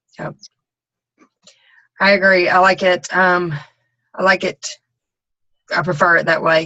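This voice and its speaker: At a fairly slow pace, a woman with a Southern US accent speaks in a monotone, flat intonation at a medium pitch, leaving long, frequent pauses. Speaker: team coach leading a group call. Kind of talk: casual group call briefing. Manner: hesitant, many ums and you knows.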